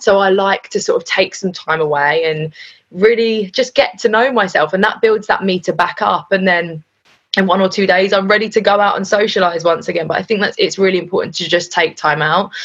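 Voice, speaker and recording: A woman with a London accent at a medium pitch, ordinary pitch variation and a fairly quick pace. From North London. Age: 20s. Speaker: radio DJ. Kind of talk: casual chat.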